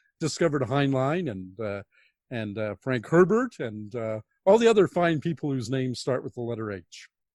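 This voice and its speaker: With a Canadian accent, a man speaks in an unremarkable speaking voice at medium pitch and a moderate pace. His intonation is lively, and the sound is dry and close with no echo. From Canada, Toronto. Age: 60s. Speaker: science fiction author. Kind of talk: interview.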